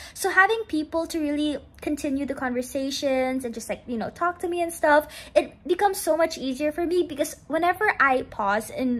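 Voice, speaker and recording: Here a woman talks at a fairly quick pace. Her high voice has lively intonation. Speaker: college student vlogger. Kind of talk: casual vlog chat. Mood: happy, grateful, warm. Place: home room. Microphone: phone near.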